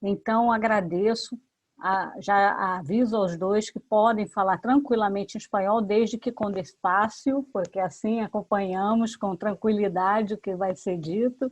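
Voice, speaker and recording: In a normal speaking voice, a woman of medium pitch talks at a fairly slow pace with fairly even intonation and hardly any pauses, the sound dry and close with no echo. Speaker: professor and seminar moderator. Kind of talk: academic seminar introduction.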